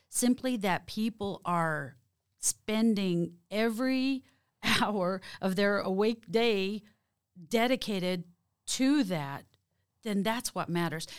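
Someone with an American accent speaks at a very slow pace, with long, frequent pauses. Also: woman, medium pitch for a woman, ordinary pitch variation, very clean recording, silent background. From Oklahoma, Creek Nation. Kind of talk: interview.

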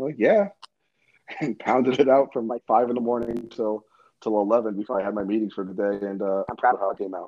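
Using an ordinary speaking voice, a man at medium pitch talks at a fairly quick pace with fairly even intonation. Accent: American. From New York, New Jersey and California Bay Area. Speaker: pizzeria owner. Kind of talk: podcast interview.

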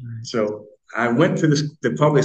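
Vocal fry runs through a man's medium-pitched voice as he speaks at a moderate pace. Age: 60s. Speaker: author and self-help speaker. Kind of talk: interview conversation.

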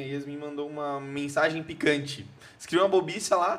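With noticeable background noise around him, a fairly high-pitched man talks very fast. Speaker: guest's fiancé. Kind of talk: casual chat.

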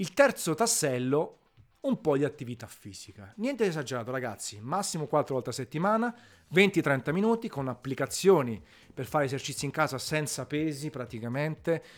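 Recorded very cleanly with a silent background, a man with a fairly high pitch speaks at a moderate pace, his voice making very wide pitch swings. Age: 40s. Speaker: food podcaster. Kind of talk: casual monologue.

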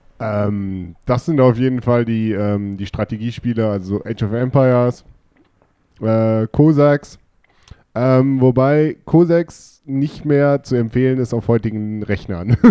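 This man's delivery is very slow. He talks at a medium pitch. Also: ordinary pitch variation. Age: 20s. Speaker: podcast guest, gamer. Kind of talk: casual chat.

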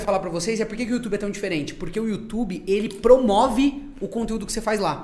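A man at a very fast pace, high in pitch, with ordinary pitch variation and noticeable background noise. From Brazil, interior town. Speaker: content creator, podcast guest. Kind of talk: casual chat.

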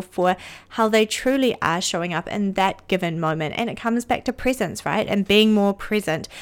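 A woman with an ordinary speaking voice talks at a fairly quick pace and medium pitch. The recording is very clean, with a silent background. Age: 30s. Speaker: podcast host, intuitive mentor and energy healer. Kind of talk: solo podcast monologue.

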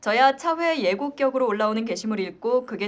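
Very wide pitch swings at a moderate pace. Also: woman. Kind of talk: casual chat with comment reading.

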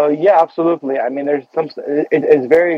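Noticeable noise sits in the background. A man speaks over it at a fairly quick pace. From Beirut, Lebanon. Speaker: casting director and actor. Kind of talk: radio interview. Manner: halting, many fillers.

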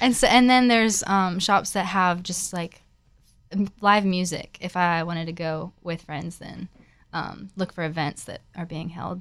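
A woman's ordinary speaking voice, fairly low in pitch, with ordinary pitch variation, a fairly slow pace and big swings in loudness. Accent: American. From Florida, US. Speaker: coffee shop Instagrammer. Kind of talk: casual interview chat.

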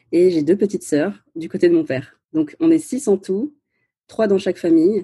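Speaking at a moderate speed, the voice carries a dark, mellow tone and ordinary variation in pitch. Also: woman. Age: 30s. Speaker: podcaster and former lawyer. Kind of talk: casual interview. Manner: hesitant, many fillers.

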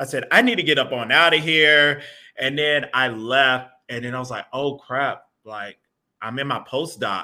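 With an American accent and an ordinary speaking voice, a man speaks at a moderate pace in a fairly high pitch with ordinary pitch variation. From US South, Atlanta, Georgia. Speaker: geology professor. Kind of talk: casual interview. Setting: video call from home.

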